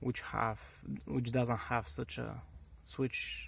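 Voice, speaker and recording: This is a man speaking. He talks with a Bulgarian accent. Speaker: car hobbyist. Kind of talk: tutorial. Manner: halting, many fillers and restarts.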